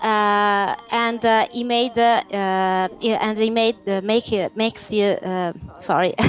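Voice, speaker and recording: Someone with an Italian accent talks at a very slow pace with fairly even intonation. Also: woman, fairly high pitch for a woman. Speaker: games journalist. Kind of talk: panel discussion. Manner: halting.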